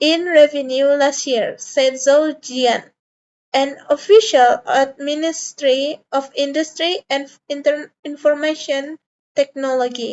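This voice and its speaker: A woman with a non-native accent talks at a very slow pace. Her pitch is high and her intonation fairly even. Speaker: student. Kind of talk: class presentation. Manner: halting, with self-corrections.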